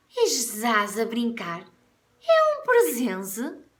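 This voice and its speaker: Using a put-on character voice, a woman speaks very slowly at a fairly high pitch with audible echo. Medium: read story. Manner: buzzing, excitable.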